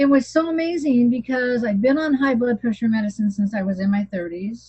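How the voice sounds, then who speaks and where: Somewhat breathy and fairly high, a woman's voice shows ordinary pitch variation. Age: 60s. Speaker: health program success story speaker. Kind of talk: testimony. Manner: animated.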